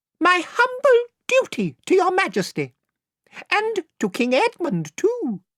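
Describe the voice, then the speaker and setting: This put-on character voice is shrill and squeaky, pitched extremely high. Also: fairly slow pace. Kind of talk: courtly, formal.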